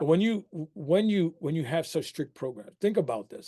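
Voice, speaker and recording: A man with a New York accent talks at a moderate pace in a dark, mellow tone with lively intonation. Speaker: harm reduction program director. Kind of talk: webinar talk. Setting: webinar.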